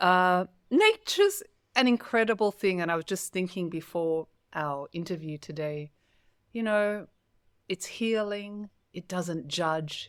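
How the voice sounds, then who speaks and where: A fairly low-pitched woman with an Australian accent, very slow delivery, ordinary pitch variation, and a dry, close sound with no echo on a very clean recording against a silent background. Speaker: spiritual coach and podcast host. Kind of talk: interview.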